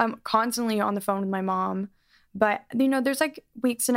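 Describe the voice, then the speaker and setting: At a moderate pace with ordinary pitch variation, an unremarkable speaking voice comes through a dry, close recording with no echo and a very clean, silent background. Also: woman. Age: 20s. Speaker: singer. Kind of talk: casual chat.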